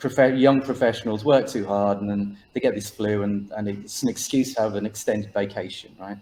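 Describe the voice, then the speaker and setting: A man with an English accent, fairly low in pitch and dark and mellow in tone, at a moderate pace with fairly even intonation. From England, Birmingham. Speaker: author. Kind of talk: interview.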